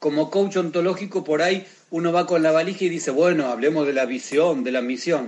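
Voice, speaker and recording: A man talks fairly quickly at a fairly high pitch, with ordinary pitch variation. He has an ordinary speaking voice. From Argentina. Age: 40s. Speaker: sports coach. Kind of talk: interview.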